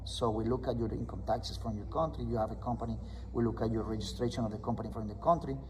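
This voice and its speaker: Audible room echo surrounds a man speaking with a Spanish accent. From Colombia. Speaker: loan officer. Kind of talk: interview explaining mortgage options. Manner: hesitant with fillers and restarts.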